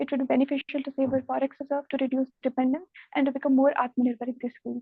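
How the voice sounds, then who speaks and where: A soft-spoken woman with a high pitch, a very fast pace and monotone, flat intonation. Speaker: civil services interview candidate. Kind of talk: mock interview answer.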